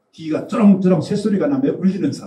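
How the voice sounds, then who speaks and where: The man's voice has a dark, mellow tone. Audible room echo surrounds it. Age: old. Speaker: physiognomy lecturer. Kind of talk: lecture. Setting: seminar with audience. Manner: casual storytelling.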